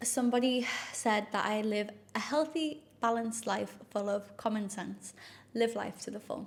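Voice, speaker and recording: A woman's somewhat breathy voice, fairly high in pitch, at a moderate pace with ordinary pitch variation. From northeast England, South Shields. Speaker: influencer and health coach. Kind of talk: casual chat to camera. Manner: chatty, with many fillers.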